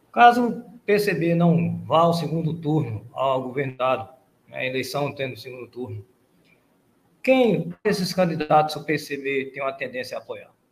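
A man with a fairly high pitch and a somewhat breathy voice speaks at a fairly slow pace, with lively intonation and big swings in loudness. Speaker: professor, radio panelist. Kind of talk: radio interview. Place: home room. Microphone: headset.

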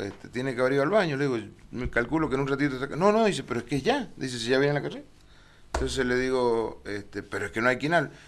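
A man talks with lively intonation. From Argentina. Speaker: cycling race announcer. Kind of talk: TV interview. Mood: relaxed, reminiscing. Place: studio. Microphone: podium.

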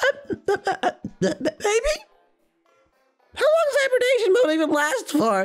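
This put-on character voice is extremely high. It goes at a fairly slow pace with long, frequent pauses. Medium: role play. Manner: fast, excitable.

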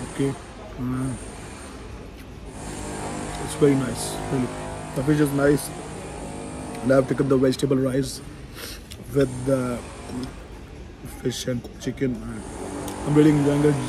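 Music sounds in the background. A man talks at a moderate pace with flat, monotone intonation. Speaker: travel vlogger. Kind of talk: casual vlog chat. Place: cafe. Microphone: phone near.

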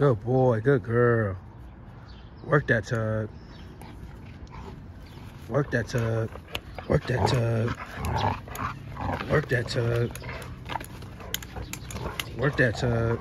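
The speech moves at a very slow pace with long, frequent pauses, the sound dry with no echo over loud background noise. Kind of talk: casual talk to dogs and viewers. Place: garden. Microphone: phone near.

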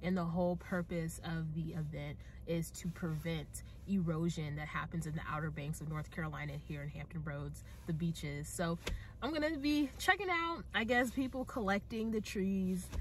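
Noticeable background noise accompanies a woman talking at a moderate tempo. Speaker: TV news reporter. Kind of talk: casual vlog. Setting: vlog, filmed on location and in car. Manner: casual, chatty.

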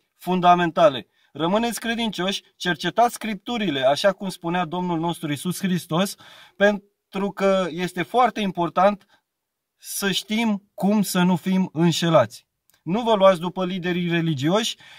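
A man speaks with a high pitch at a fairly slow pace, the sound dry with no echo. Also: ordinary pitch variation, quiet background. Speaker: speaker. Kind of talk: religious exhortation, preaching vlog. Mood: earnest, warning. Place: car. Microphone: phone near.

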